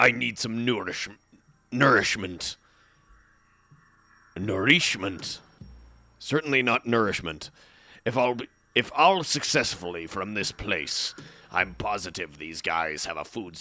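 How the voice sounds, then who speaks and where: A man's put-on character voice, fairly low in pitch, at a fairly slow pace with long, frequent pauses, on a very clean recording with a silent background. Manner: undead, drawn out.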